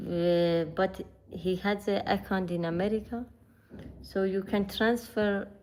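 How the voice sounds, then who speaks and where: Speaking at a very slow pace with a Persian accent, a woman keeps a medium pitch, fairly even intonation and very even loudness. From northern Iran. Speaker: vlogger. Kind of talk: casual chat. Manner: halting.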